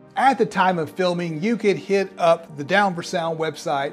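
Faint music plays in the background as a man speaks at a fairly slow pace in a high pitch. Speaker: audio reviewer. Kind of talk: product review commentary. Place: home room. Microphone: lapel.

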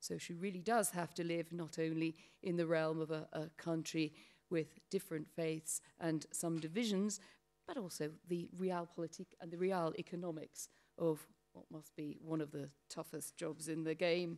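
In a British accent, a woman with a fairly low voice speaks at a moderate pace and with fairly even intonation. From Britain. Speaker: panel moderator. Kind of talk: panel discussion. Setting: stage with audience. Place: hall. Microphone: podium.

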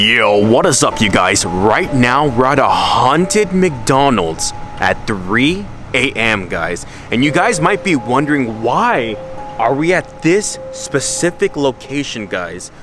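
Music plays behind a man whose pitch swings very widely. The sound is dry, with no echo. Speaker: vlogger. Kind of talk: casual vlog chat. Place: street. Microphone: phone near.

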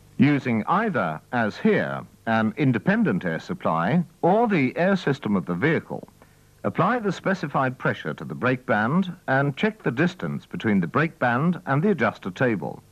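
Using very wide pitch swings and some vocal fry, a man speaks at a medium pitch and a moderate pace. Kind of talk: vintage training film narration. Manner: formal, measured, instructional.

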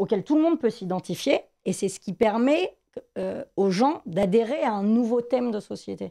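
Over a quiet background, a woman talks at a moderate pace with lively intonation, her fairly high pitch carried by a dark, mellow tone. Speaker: TV series pundit. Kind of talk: casual chat. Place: studio. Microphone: studio mic.

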